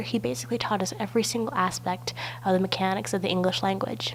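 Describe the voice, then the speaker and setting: Over noticeable background noise, a woman with a very deep, low voice talks at a fairly quick pace. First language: not English. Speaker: university student. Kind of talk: personal narrative video essay.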